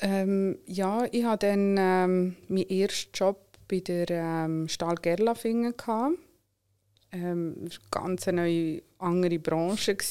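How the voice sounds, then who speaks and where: A woman with a Swiss accent speaks very slowly in a dark, mellow tone. The recording is very clean, with a silent background. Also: medium pitch for a woman, fairly even intonation. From Switzerland, Solothurn. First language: not German, learned German at five (speaking German). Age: 30s. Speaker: entrepreneur. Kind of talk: interview.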